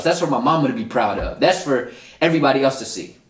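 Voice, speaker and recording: Fairly quick speech with audible room echo. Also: man. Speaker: motivational podcast host. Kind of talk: solo podcast monologue. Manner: animated.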